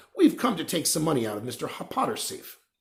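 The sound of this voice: Using a put-on character voice, a man talks fast at a fairly high pitch, with vocal fry and very wide pitch swings.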